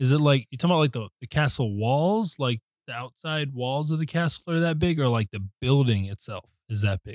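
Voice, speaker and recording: A man with an unremarkable speaking voice talks fairly quickly in a fairly high pitch, with hardly any pauses. The sound is dry and close, with no echo. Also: lively intonation. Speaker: podcast co-host. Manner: casual, slangy.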